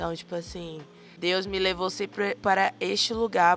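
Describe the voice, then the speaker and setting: A woman's medium-pitched voice with a bright, sharp tone, monotone, flat intonation and a fairly slow pace. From Bahia, Brazil. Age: 20s. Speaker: missionary. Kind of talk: interview testimony.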